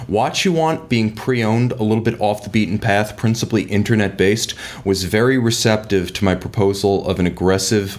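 Speaking at a moderate pace, a man has an unremarkable speaking voice, fairly low in pitch with ordinary variation. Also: very even loudness. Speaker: watch company media director. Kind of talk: interview.

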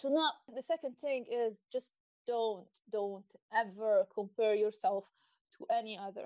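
A woman with an ordinary speaking voice, ordinary pitch variation and a fairly slow pace. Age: 30s. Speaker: guest, graphic designer and artist. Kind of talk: casual interview chat.

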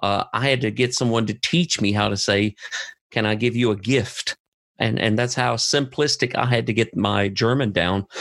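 With an American accent and vocal fry, the voice moves at a moderate pace with ordinary pitch variation and very even loudness. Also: man, medium pitch for a man. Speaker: missionary podcast host. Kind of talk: casual conversation.

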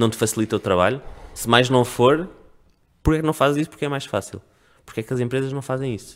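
Speaking at a very fast pace with ordinary pitch variation, a man leaves long, frequent pauses. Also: medium pitch for a man. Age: 30s. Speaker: communications consultant. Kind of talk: casual chat.

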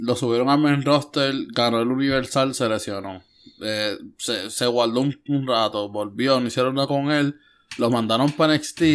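A man with an ordinary speaking voice and medium pitch talks at a moderate pace on a very clean recording with a silent background. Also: fairly even intonation. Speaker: wrestling podcast co-host. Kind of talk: casual chat.

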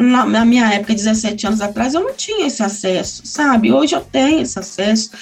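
A woman's intonation is lively as she talks at a moderate tempo, with noticeable background noise around her. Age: 40s. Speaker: pedagogue and mother. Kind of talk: interview testimony. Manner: halting, many fillers.

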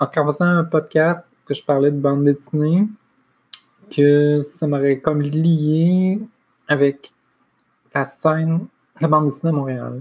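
A woman speaks at a very deep, low pitch with fairly even intonation. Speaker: podcaster and library assistant. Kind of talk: solo monologue. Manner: halting.

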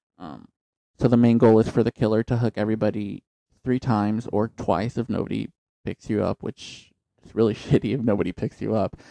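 A man's medium-pitched voice, dark and mellow in tone, at a fairly quick pace with fairly even intonation and a dry, close sound free of echo. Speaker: podcast co-host. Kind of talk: casual chat. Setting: home studio. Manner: joking, profane.

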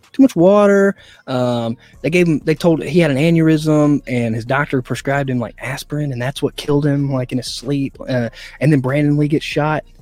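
Pitch varies in an ordinary way in this ordinary speaking voice. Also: man, fairly high pitch for a man, fairly quick pace. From South Carolina. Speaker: actor. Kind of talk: casual chat. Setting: studio.

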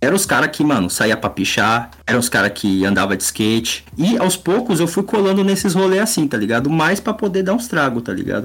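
Talking at a fairly quick pace, a man with fairly high pitch swings very widely in pitch and shows vocal fry. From São Paulo area, Brazil. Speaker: illustrator and comic artist. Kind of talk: casual chat.

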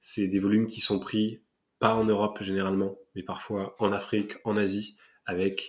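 A man talks at a moderate pace with a fairly low pitch and monotone, flat intonation, on a very clean recording with a silent background. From Paris region, France. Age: 30s. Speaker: ocean activist. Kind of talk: casual interview.

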